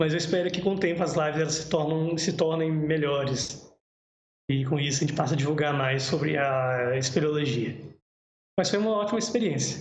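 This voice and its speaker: With audible room echo, a man speaks at a fairly high pitch with ordinary pitch variation. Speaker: cave biologist presenting a livestream. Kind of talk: livestream talk with Q&A. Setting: home livestream. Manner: fast.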